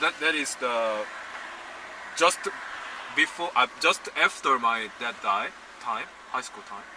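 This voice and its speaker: With noticeable background noise behind him, a man with a Korean accent speaks at a medium pitch and a very slow pace, with big swings in loudness and long, frequent pauses. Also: ordinary pitch variation. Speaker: filmmaker. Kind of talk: casual chat. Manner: halting.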